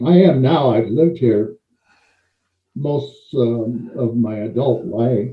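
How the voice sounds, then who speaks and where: A man with an American accent speaks at a medium pitch with ordinary pitch variation. He talks very slowly, with long, frequent pauses, and sounds somewhat breathy. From US Pacific Northwest, Portland, Oregon. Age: 70s. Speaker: retired pro wrestler and Olympic weightlifter. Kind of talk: interview.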